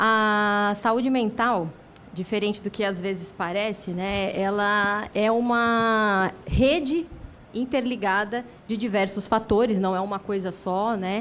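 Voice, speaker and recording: Audible room echo surrounds the voice. The speech is very slow, with fairly even intonation. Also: woman, medium pitch for a woman. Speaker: psychiatrist and lecturer. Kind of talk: lecture.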